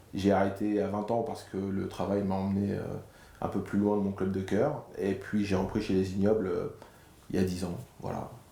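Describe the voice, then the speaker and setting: Audible room echo surrounds a man speaking at a moderate pace in a fairly low, flat monotone. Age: 40s. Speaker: amateur rugby player, club president. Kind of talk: interview. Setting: locker room. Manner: hesitant, with fillers.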